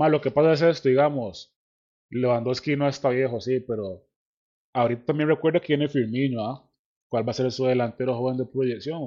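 With a Costa Rican accent, a man speaks with ordinary pitch variation. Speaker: podcast host. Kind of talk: casual chat.

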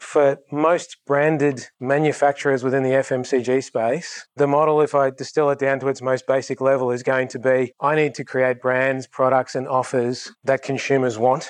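Over a quiet background, a man talks at a moderate pace with hardly any pauses, his medium pitch held in a monotone, flat intonation. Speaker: industry manager presenting. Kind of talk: conference presentation. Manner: casual, self-deprecating.

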